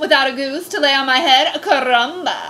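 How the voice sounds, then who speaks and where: A put-on character voice, female-sounding and high in pitch for a woman. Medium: read story. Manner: comic overacting.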